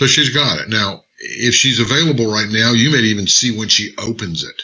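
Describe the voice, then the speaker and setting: A man's pitch varies in an ordinary way while he speaks at a fairly slow pace. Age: 60s. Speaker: network marketing trainer. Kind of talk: live tutorial. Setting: live stream. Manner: casual, upbeat.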